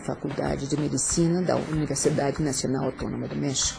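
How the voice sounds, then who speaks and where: A woman speaks with music in the background. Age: 60s. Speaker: biologist, university researcher. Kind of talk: interview testimony.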